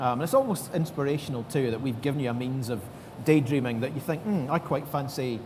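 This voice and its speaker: A man with a Scottish accent and a fairly high pitch talks very fast with ordinary pitch variation, with noticeable background noise behind him. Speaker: tech developer advocate. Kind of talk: panel interview.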